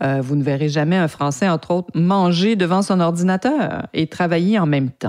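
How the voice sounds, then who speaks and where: A woman with a Canadian French accent at a moderate pace, in a very clean recording with a silent background. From French Canada. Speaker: podcast host, PR agency owner. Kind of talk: podcast monologue. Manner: hesitant, many repeated words.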